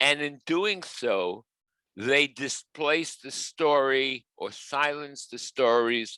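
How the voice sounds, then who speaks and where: A man with a strong New York accent at a very slow pace, bright and sharp in tone, ordinary pitch variation, dry and close with no echo. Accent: New York, heavy. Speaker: professor. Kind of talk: webinar talk. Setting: video call.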